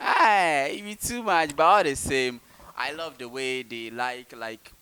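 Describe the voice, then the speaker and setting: A man with a medium-pitched voice speaks at a fairly slow pace, his tone animated, bright and sharp. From Ghana. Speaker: YouTuber and interviewer. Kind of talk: casual group interview.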